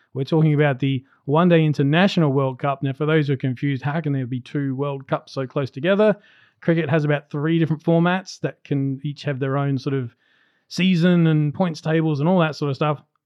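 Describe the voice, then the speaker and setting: A man with an Australian accent talks fairly quickly at a fairly high pitch with fairly even intonation. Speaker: podcast co-host. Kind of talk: casual chat; scripted narration. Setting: recording at a friend's house.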